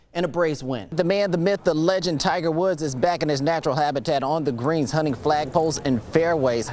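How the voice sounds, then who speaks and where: This man has a plain, everyday voice, pitched fairly high with ordinary variation. He talks at a fairly quick pace. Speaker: sports anchor. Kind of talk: sports highlights commentary. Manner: upbeat, playful.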